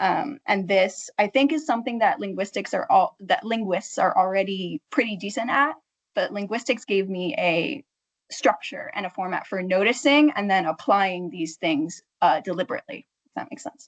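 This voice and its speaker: A woman with an ordinary speaking voice at medium pitch is heard in a dry, close sound with no echo. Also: moderate pace. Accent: American. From United States. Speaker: marketing project manager, linguist in industry. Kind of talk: panel discussion.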